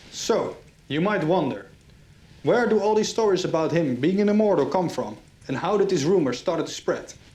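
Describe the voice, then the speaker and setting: A man's high-pitched voice with a dark, mellow tone and lively intonation, at a moderate pace, with audible room echo. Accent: Dutch. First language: Dutch. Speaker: history channel host. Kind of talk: scripted narration.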